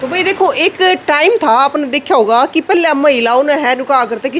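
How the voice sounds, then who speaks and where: A woman's high-pitched voice in a Haryanvi accent, animated in tone with lively intonation, over noticeable background noise. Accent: Haryanvi Hindi. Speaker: village video reporter. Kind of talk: walking tour with interviews. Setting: village meeting hall library. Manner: conversational, animated.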